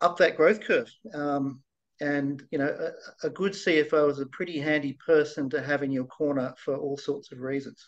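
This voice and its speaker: With an Australian accent, a man talks at a moderate pace and a fairly high pitch against a quiet background. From Australia, Blue Mountains near Sydney; New South Wales, Australia. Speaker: virtual CFO, finance consultant; guest. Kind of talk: interview, casual business chat. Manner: halting, many fillers and repetitions. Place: home room. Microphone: video call.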